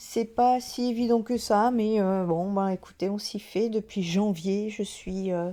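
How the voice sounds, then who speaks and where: A woman's dark, mellow, medium-pitched voice, very slow with fairly even intonation, on a very clean recording with a silent background. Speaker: medium and spiritual channel host. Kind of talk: casual vlog talk to viewers. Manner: soft-spoken; hesitant, many filler sounds.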